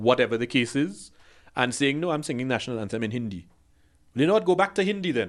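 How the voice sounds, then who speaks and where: Over a quiet background, a man with a medium-pitched voice talks at a very fast pace in an animated tone, his pitch swinging very widely. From Trinidad. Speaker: podcast co-host. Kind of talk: casual chat.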